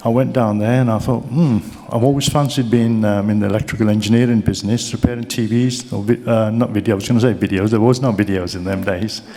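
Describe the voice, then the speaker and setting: A medium-pitched man with a Birmingham accent speaks with fairly even intonation, amid audible room echo and noticeable background noise. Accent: Brummie. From Birmingham, England. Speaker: keynote speaker, business mentor. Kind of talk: keynote speech. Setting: stage with audience.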